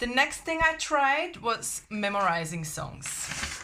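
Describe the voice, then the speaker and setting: Here a woman is speaking. She has a German accent. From Germany. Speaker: language learning vlogger. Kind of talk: casual vlog talk. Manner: hesitant with fillers.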